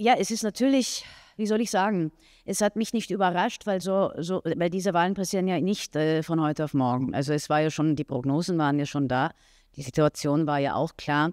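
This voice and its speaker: Lively intonation comes through a dry, echo-free sound against a quiet background. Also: woman, fairly low pitch for a woman, fairly quick pace. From Austria. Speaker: actress. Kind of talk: press interview. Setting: café press event. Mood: calm, reflective. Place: hall. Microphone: handheld.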